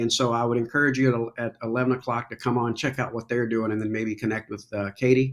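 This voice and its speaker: Talking very fast with hardly any pauses, a man with an American accent holds a medium pitch in a monotone, flat intonation. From Kentucky, US. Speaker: veteran charity organizer and coffee business owner. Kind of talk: casual chat.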